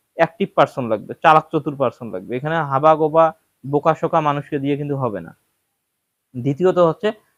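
A man with a normal speaking voice, fairly high pitch and ordinary pitch variation, in a dry, close sound with no echo against a quiet background. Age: 20s. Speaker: cattle farmer and video creator. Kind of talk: casual vlog talk to viewers.

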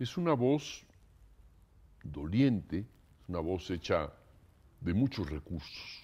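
In a dark, mellow tone, a man speaks very slowly with a fairly low pitch and very wide pitch swings. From Mexico. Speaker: composer; interviewee. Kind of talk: interview. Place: home room.

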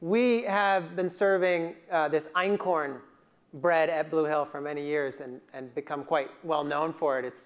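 A man talks at a fairly slow pace. His pitch rises and falls in an ordinary way. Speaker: keynote speaker. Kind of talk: keynote speech storytelling. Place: hall. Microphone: lapel.

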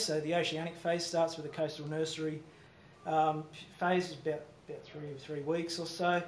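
With an Australian accent and a fairly high pitch, a man talks at a fairly quick pace against audible room echo and light background noise. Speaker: fisheries scientist. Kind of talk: conference presentation. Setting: stage with audience. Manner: halting. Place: hall. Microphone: podium.

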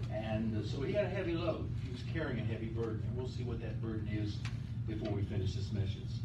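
A man talking at a very fast pace over loud background noise. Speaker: pastor. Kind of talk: sermon. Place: church. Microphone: camera far.

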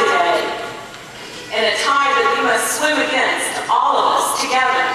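A woman speaks in a raised, projected voice at a fairly slow pace, with strong room echo and light background noise. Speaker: politician. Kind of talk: political speech. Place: hall.

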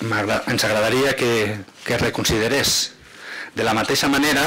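A man's voice with fairly even intonation. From Catalonia. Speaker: provincial councillor. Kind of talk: council debate. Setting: council chamber. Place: hall. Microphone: podium.

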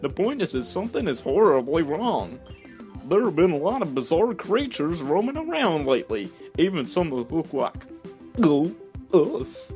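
Clear music plays behind a man using a put-on character voice, high-pitched with very wide pitch swings. He keeps a moderate pace and leaves long, frequent pauses. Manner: goofy, then serious and worried.

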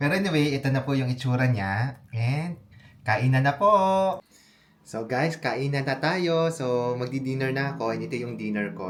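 At a moderate pace, a man speaks with lively intonation at a medium pitch. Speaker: vlogger. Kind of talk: cooking vlog tutorial.

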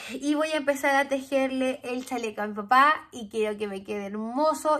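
Someone with a Chilean accent talks with ordinary pitch variation against a quiet background. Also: woman. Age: 30s. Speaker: knitting podcaster. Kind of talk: casual chat. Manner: animated. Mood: cheerful, chatty. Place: home room.

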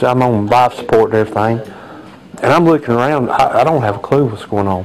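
The speech races along at a very fast pace over light background noise. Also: man. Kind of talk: interview answer. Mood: reflective, recounting trauma. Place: home room.

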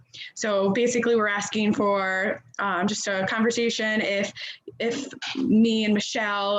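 A woman at a medium pitch speaks in a monotone, flat delivery, with noticeable background noise behind her. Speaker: school board committee chair. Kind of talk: public meeting. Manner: fast.

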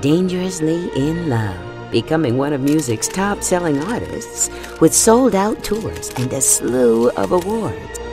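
Over music in the background, a woman talks at a fairly slow pace with hardly any pauses. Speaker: voice actor. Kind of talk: biography narration.

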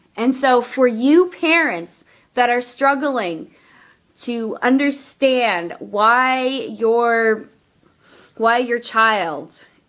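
A woman speaks at a very slow pace in a high pitch with lively intonation against a quiet background. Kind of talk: casual vlog talk to camera. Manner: stuttering, hesitant. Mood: earnest, personal. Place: home room. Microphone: phone near.

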